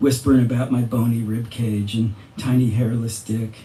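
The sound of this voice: Reading in an unforced voice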